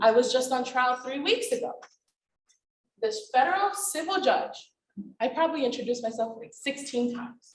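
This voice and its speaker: A woman with a high voice talks at a moderate pace, her pitch swinging very widely, with long and frequent pauses. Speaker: attorney and panelist. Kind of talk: panel discussion.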